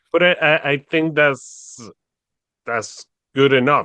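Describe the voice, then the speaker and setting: With a Spanish accent, a man talks using ordinary pitch variation. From Venezuela. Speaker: podcast host. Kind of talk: casual interview conversation.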